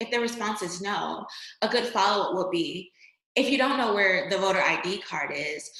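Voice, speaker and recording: Energetic in tone, a woman speaks at medium pitch and a fairly quick pace with lively intonation, and room echo is audible. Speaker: voter registration trainer. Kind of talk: training presentation. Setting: online screen-share presentation.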